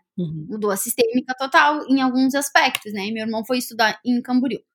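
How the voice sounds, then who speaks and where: Lively intonation marks a woman's high-pitched voice at a moderate pace. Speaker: psychologist and podcast co-host. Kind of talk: casual chat.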